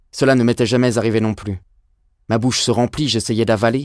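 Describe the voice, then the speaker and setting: Recorded very cleanly with a silent background and a dry, close sound with no echo, a man speaks at a moderate pace in a medium-pitched voice with monotone, flat intonation. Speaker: voice actor. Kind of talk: audiobook reading.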